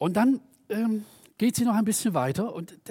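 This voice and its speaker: A man with a high-pitched, dark, mellow voice speaks with lively intonation in a dry, close sound with no echo. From East Germany. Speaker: preacher. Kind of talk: sermon.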